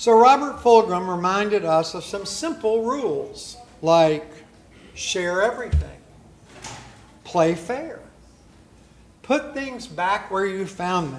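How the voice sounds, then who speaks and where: This man talks very slowly with a high pitch and lively intonation, his loudness swinging widely. Long pauses come often. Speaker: guest preacher. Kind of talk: church sermon.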